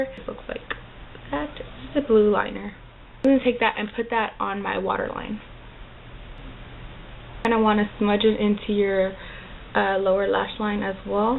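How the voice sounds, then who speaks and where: Over noticeable background noise, a woman with a medium pitch speaks at a moderate pace with fairly even intonation and long, frequent pauses. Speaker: makeup tutorial creator. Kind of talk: makeup tutorial talk to camera. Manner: casual, chatty.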